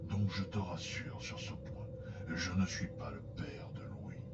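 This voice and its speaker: A man whispers in a put-on character voice. Loud background noise is present. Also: fairly slow pace. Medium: audio drama. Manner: serious.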